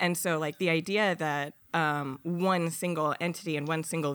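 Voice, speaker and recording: Delivered at a moderate pace with ordinary pitch variation, an unremarkable speaking voice with an American accent comes through on a very clean recording with a silent background. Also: woman. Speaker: game studio founder and new podcast co-host. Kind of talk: casual comedic chat podcast.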